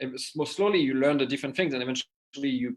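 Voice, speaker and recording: Medium-pitched male voice with a French accent. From southwest France (Les Landes, Mont-de-Marsan). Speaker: pastry chef and food entrepreneur. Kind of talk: interview. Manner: casual, halting with fillers.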